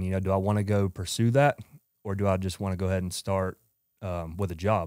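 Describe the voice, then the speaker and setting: A man with a strong Georgia Southern accent talks at a very fast pace in a fairly low pitch. The recording is very clean, with a silent background and a dry, close sound with no echo. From US South, Georgia. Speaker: entrepreneur, former college baseball player. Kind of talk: podcast interview, casual chat.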